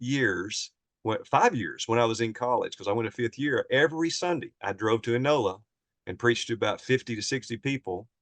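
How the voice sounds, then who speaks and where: A man speaks at a fairly quick pace. He has a Southern US accent. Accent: Southern American. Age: 60s. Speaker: preacher. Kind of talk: interview, personal life story. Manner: casual, conversational.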